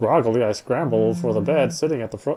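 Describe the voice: Lively in intonation, a man talks at a fairly quick pace with a dark, mellow tone and a slightly husky edge.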